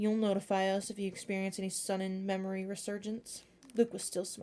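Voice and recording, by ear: Text is being read aloud here in a natural voice.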